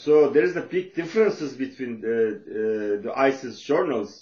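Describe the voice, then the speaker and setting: A man's medium-pitched voice with a Turkish accent and lively intonation. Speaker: social worker and author. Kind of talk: lecture. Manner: halting, many fillers.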